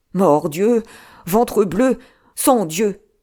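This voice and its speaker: A put-on character voice shouts in a raspy tone. The pitch sits in the middle range. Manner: shouting, crying out.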